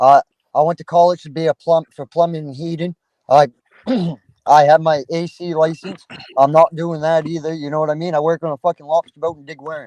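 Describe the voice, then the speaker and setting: A man with a Down East Maine accent, fairly quick and monotone, flat in intonation, with big swings in loudness in a dry, close sound with no echo. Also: fairly high pitch for a man. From Maine (Down East). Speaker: lobster fisherman, Air Force veteran. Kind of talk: casual panel chat. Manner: casual, rambling with fillers.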